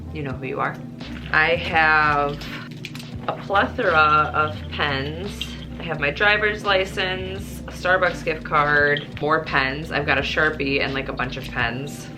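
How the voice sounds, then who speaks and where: Music plays in the background as someone with a Midwestern accent speaks at a very slow pace with lively intonation and audible room echo. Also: woman, very deep, low pitch for a woman. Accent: Midwestern, noticeable on the word bag. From US Midwest. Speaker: operating room nurse and vlogger. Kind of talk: casual vlog chat.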